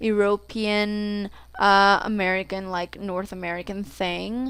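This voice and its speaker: On a very clean recording with a silent background, a woman speaks with a Mexican accent. Her pace is very slow. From Mexico. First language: Spanish. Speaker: gaming YouTuber. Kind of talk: casual vlog introduction. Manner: rambling, filler-heavy casual speech.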